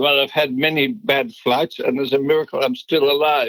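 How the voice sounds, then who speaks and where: A man speaks with a Dutch accent. His pitch is fairly high. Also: dry, close sound with no echo. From Netherlands. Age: 70s. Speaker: business founder. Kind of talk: interview.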